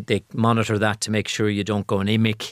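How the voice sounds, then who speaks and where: With an Irish accent, a man talks at a moderate pace in a fairly low pitch. The recording is very clean, dry and close with no echo and a silent background. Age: 50s. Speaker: patient. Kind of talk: interview. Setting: studio. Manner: halting.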